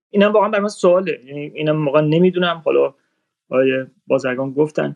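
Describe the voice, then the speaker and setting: Very fast speech from a man with fairly even intonation. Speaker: radar specialist. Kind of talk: online panel discussion. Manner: formal.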